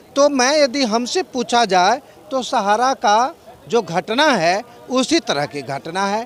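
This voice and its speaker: This man speaks at an extremely high pitch, his voice swinging very widely up and down. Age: 60s. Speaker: physics scholar, interviewee. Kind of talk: street interview.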